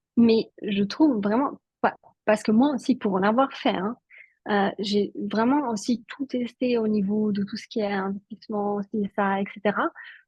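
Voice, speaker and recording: Somewhat breathy speech from a woman, fairly high in pitch with ordinary pitch variation, at a fairly slow pace. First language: Italian (speaking French). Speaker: network marketing entrepreneur. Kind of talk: interview.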